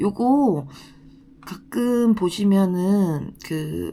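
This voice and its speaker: Very slowly, a woman speaks at a medium pitch in a dark, mellow tone. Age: 30s. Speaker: designated driver and translator. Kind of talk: casual talk to camera.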